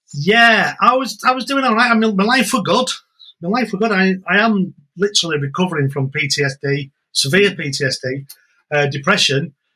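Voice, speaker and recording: A man projects a raised voice with a bright, sharp tone, high in pitch with very wide pitch swings, at a fairly quick pace. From England. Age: 60s. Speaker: jiu-jitsu instructor. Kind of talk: podcast interview. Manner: repetitive, halting starts.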